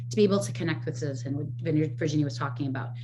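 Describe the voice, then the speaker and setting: Audible room echo surrounds the voice. It's a woman, somewhat breathy. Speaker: rare disease data platform representative. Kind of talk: presentation. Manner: fast.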